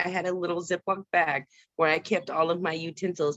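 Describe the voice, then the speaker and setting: In an American accent, a woman speaks at a fairly low pitch with monotone, flat intonation. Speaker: former foster youth speaking to a task force. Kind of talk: testimony. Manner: fast.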